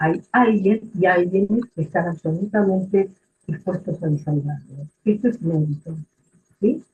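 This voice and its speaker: Somewhat breathy and fairly low-pitched, a woman speaks at a fairly slow pace with ordinary pitch variation. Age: 70s. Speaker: retired social work supervisor. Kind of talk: book presentation talk. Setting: live stream. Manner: halting, many fillers.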